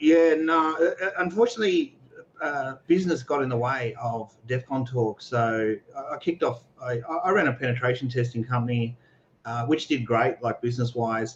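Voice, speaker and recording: In an Australian accent, a man speaks at a moderate pace. His medium pitch has ordinary variation. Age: 40s. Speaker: security researcher and entrepreneur. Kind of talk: casual interview on a livestream. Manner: casual, many fillers and repetitions.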